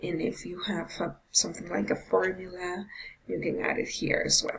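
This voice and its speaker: Noticeable background noise sits behind a woman's voice. She talks at a fairly slow pace with a medium pitch. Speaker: tutorial presenter. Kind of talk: screen-recorded software tutorial. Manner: hesitant with many fillers.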